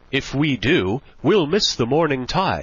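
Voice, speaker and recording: A man puts on a character voice at a fairly high pitch, speaking at a fairly slow pace. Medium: read story. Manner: hearty, ingratiating.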